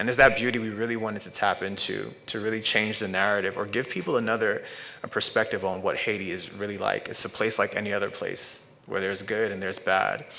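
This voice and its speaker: There is noticeable background noise. A man with a New York accent speaks at a very fast pace. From New York, Brooklyn. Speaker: artist and filmmaker. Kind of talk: artist talk. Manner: halting.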